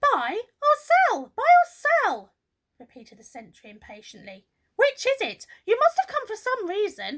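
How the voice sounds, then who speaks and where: A woman uses a put-on character voice, squeaky and extremely high-pitched with very wide pitch swings. Her voice is raised and projected at a moderate pace, with a dry, close sound and no echo. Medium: read story. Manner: brisk, officious.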